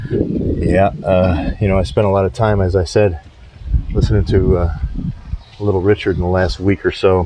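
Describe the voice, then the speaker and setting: Quiet and very deep, a man's low voice keeps a moderate pace with ordinary pitch variation. Noticeable background noise sits behind him. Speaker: window cleaner and rock music vlogger. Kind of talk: casual vlog monologue. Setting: outdoors at a client's house while working. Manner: quiet, hushed; hesitant, many fillers.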